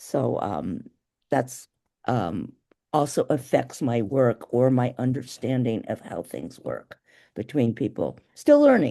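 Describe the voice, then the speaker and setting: Speech unfolds very slowly. Behind it, the background stays quiet. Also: woman. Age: 70s. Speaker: poet. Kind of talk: casual chat. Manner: halting.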